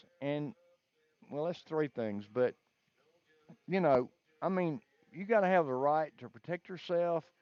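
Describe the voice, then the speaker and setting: The speaker has a Southern US accent and a fairly slow pace. Long, frequent pauses break up the speech. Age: 60s. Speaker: caller. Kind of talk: casual chat.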